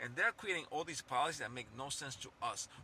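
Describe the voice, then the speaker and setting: A man's animated, bright, sharp voice at medium pitch, with a non-native accent and a very fast pace. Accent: noticeable foreign. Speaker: political commentator YouTuber. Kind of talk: political rant monologue. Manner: animated, repetitive; halting, self-correcting.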